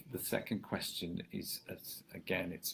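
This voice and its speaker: This man speaks in an English Midlands accent. His voice is somewhat breathy. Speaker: social media marketing consultant. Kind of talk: interview chat. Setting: Facebook live video. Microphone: poor quality live stream audio.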